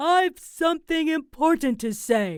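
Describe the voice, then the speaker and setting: A put-on character voice pitched high and delivered at a fairly slow pace. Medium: read story. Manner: stern, curt.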